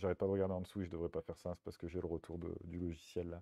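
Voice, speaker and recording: Talking at a very fast pace, the man has a very deep, low pitch. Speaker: streamer. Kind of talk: casual chat. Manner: halting, many fillers.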